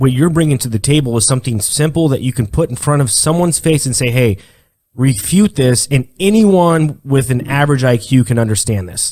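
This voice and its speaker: Somewhat breathy and dark, mellow in tone, a man at medium pitch speaks at a fairly quick pace with lively intonation. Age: 30s. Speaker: podcast host. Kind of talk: casual chat.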